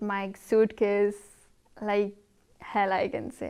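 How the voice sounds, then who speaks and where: A woman speaks with a non-native accent. The background is quiet. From India, Himachal Pradesh. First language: not English. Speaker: international student. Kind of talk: casual interview. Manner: halting.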